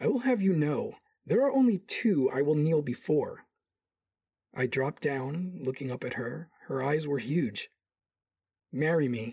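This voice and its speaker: A man's fairly high, somewhat breathy voice with a warm, dark, mellow tone and lively intonation, at a fairly slow pace with long, frequent pauses. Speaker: audio drama actor, doctor character. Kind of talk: sci-fi audio drama, romantic first-person narration and dialogue. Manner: charming, cocky, warm.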